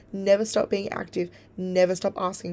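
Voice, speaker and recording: A woman with an Australian accent, a dark, mellow tone, medium pitch and a moderate pace. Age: young. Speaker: podcast host. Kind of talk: casual chat.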